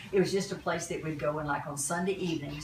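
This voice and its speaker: Amid noticeable background noise and audible room echo, a woman with a Southern US accent speaks in a very deep, low voice with ordinary pitch variation. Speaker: family elder interviewed about family history. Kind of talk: casual family reminiscence.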